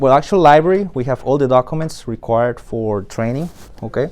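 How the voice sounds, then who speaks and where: Speech with a Spanish accent comes at a moderate pace with ordinary pitch variation. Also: man. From Colombia. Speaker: flight school admissions staff and flight instructor. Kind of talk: guided tour. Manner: hesitant, many fillers.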